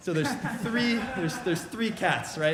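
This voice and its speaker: Speaking very fast, a man sounds somewhat breathy, with audible room echo. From Virginia, Richmond. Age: 20s. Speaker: a cappella singer. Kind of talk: stage banter between songs at a virtual concert. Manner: halting, many 'uh' fillers.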